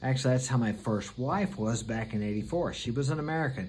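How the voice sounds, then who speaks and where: Audible room echo surrounds a man's somewhat breathy voice at medium pitch with ordinary pitch variation. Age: 60s. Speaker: vlogger. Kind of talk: casual monologue.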